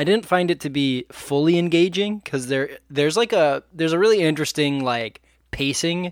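A man talks in a plain, everyday voice at a fairly high pitch with ordinary pitch variation and a moderate pace, in a very clean, dry, close recording with a silent background and no echo. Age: 20s. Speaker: podcast co-host. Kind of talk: casual chat.

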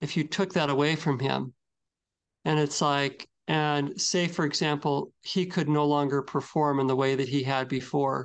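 Against a quiet background, a man with a fairly high pitch and an unremarkable speaking voice talks at a fairly slow pace. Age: 40s. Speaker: podcast co-host. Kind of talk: casual chat.

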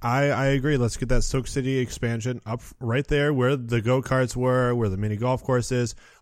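Speaking with an American accent, a man keeps a medium pitch, a moderate pace and hardly any pauses. His intonation is monotone and flat on a very clean recording with a silent background. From Michigan (Muskegon). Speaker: theme park podcast host. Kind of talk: casual chat.

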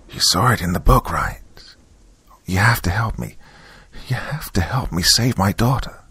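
A man whispers in a put-on character voice at a moderate pace. His sound is raspy, with a husky, rough edge.

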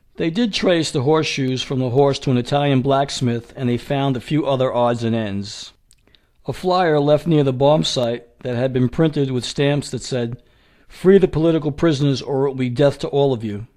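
A man delivers his lines in a dramatic tone at a moderate pace. His voice is dark and mellow, fairly high-pitched, with ordinary pitch variation. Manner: grave, measured, formal; dramatic, closing with a forceful call to action.

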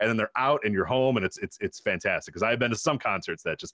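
A man talks in a medium pitch. The sound is dry and close, with no echo. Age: 30s. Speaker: podcast host, guest on a music podcast. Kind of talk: casual chat. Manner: halting, many repeated words and fillers.

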